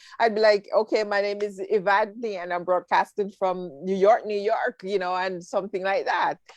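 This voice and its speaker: A woman with a Jamaican accent at a moderate pace, fairly even intonation, hardly any pauses, and a dry, close sound with no echo. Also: medium pitch for a woman. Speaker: talk show host. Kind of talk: casual interview chat.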